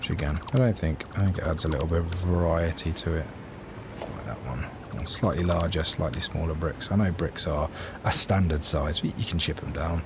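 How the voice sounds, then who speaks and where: A man's very deep, low voice against noticeable background noise. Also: ordinary pitch variation, moderate pace. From England, Cambridge. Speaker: video game streamer. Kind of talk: casual gameplay livestream chat. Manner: casual, hesitant with fillers.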